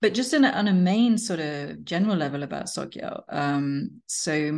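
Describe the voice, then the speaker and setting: Her intonation lively, a woman is talking. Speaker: podcast interviewer. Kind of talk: interview introduction and questions. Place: home room. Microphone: video call.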